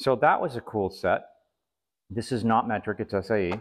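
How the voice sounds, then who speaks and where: The background stays quiet. A man speaks at a moderate pace. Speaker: flea market reseller. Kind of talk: casual show-and-tell vlog. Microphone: camera far.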